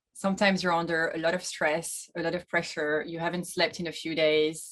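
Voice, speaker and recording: A woman with a French accent talks at a moderate pace and a fairly low pitch, her intonation fairly even. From France. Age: 30s. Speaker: sailor, boat-life vlogger. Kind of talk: interview.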